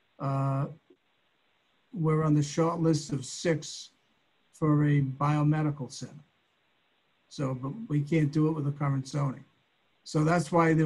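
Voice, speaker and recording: Somewhat breathy and fairly high-pitched, a man talks at a fairly slow pace in monotone, flat intonation, with long, frequent pauses. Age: 70s. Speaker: property owner, applicant. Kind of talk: public meeting remarks. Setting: video call. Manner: halting, many fillers and repeats.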